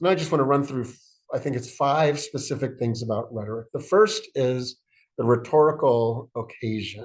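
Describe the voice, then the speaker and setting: A man at medium pitch, somewhat breathy, at a moderate pace with ordinary pitch variation. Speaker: church executive and preacher giving a workshop. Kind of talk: recorded workshop lecture. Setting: screen-share video.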